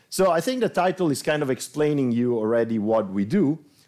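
Speaking very fast over a quiet background, a man lets his pitch swing very widely. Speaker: presenter. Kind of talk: lecture. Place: classroom.

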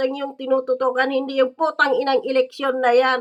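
A woman projects a raised voice, her tone bright, sharp and animated. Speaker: political commentator vlogger. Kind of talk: angry political rant, scornful and cursing. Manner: loud, heated, sarcastic, mocking with laughs; animated, accusatory, rhetorical questions.

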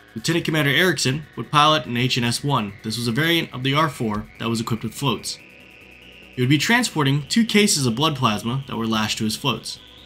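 Music plays in the background while a man speaks. He moves at a fairly quick pace with ordinary pitch variation. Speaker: history channel narrator. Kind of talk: documentary narration.

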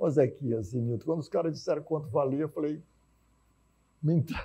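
Dark and mellow in tone, this man's voice sits at a fairly high pitch. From Teresina, Piauí, Brazil; Piauí, Brazil. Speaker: physician and healthcare executive; guest. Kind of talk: TV debate interview. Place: studio. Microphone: lapel.

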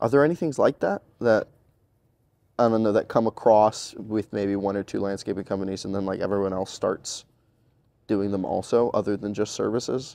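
A man with a dark, mellow tone talks at a moderate pace. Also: fairly low pitch for a man, ordinary pitch variation. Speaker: podcast interviewer. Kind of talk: interview questions. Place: home room.

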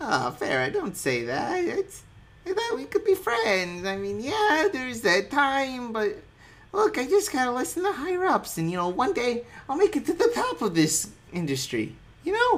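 The speaker uses a put-on character voice. It sits high in pitch and moves at a moderate pace. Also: female-sounding voice. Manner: wheedling, slick, self-excusing.

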